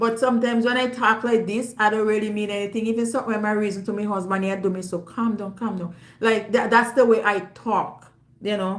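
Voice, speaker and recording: A woman speaks with a Jamaican accent at a fairly high pitch, her intonation monotone and flat. Room echo can be heard around her. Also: fairly quick pace. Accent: Jamaican, with patois. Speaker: YouTuber. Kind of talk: casual monologue to audience. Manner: loud.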